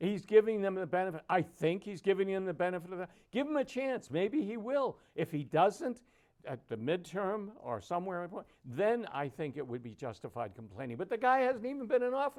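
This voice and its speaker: A man with an American accent talks at a fairly quick pace in a high pitch. His pitch swings very widely. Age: 80s+. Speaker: political talk show panelist. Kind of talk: heated debate. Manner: halting.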